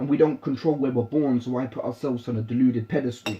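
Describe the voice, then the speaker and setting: Somewhat breathy and medium in pitch, a man's voice carries a dark, mellow tone and fairly even intonation. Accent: British. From British, raised in London. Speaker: spoken word poet. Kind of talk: spoken word poetry.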